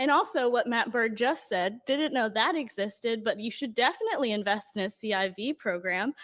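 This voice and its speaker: A woman's unremarkable speaking voice, fairly high-pitched, with lively intonation, a fairly quick pace and hardly any pauses. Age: 20s. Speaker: public commenter at city budget hearing. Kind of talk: public comment. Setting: council meeting.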